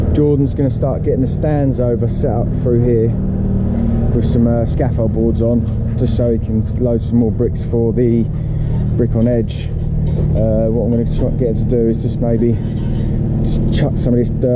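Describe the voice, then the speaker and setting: Loud background noise fills the recording. A man speaks at a moderate pace with long, frequent pauses. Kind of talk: casual vlog chat. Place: street. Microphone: phone near.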